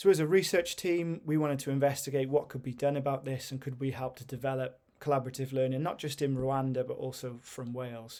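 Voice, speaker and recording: Speaking at a very fast pace, a man with a dark, mellow tone keeps his intonation fairly even in a very clean recording with a silent background. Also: medium pitch for a man. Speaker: university lecturer. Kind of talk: recorded presentation. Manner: hesitant, many fillers.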